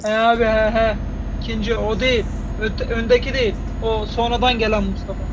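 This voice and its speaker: Noticeable background noise runs under the voice. The pace is moderate. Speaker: gamer in convoy. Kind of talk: casual gaming voice chat. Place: home room.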